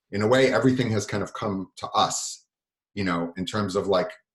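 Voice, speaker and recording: Fairly quick speech comes from a man with a somewhat breathy voice. His pitch shifts in an ordinary way. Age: 40s. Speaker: record label owner and musician. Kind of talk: workshop lecture. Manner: fast.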